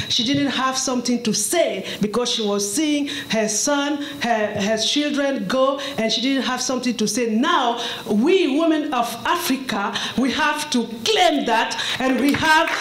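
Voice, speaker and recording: Speaking with a French accent, a woman talks at a fairly slow pace and a high pitch, with ordinary pitch variation. Audible room echo and noticeable background noise surround her voice. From Cameroon. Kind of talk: testimony. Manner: halting.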